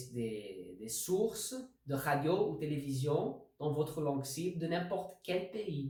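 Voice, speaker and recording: A man with a non-native accent and a fairly high pitch talks at a very slow pace. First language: not French (speaking French). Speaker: language learning video host. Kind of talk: tutorial. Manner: halting.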